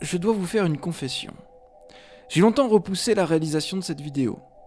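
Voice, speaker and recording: There is music in the background as a man speaks. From Savoie, France. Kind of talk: educational talk to camera. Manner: hesitant, many filler sounds.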